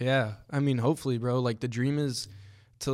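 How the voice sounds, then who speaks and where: Over a silent background in a very clean recording, a man speaks at a fairly quick pace with monotone, flat intonation. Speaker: podcast host. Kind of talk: casual chat.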